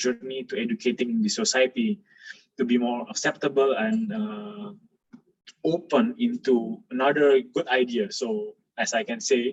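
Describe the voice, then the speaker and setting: A man's fairly high voice, fairly slow in pace, with very wide pitch swings. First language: not English. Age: 20s. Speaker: architect. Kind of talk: lecture. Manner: halting, many fillers. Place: home room. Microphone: webcam.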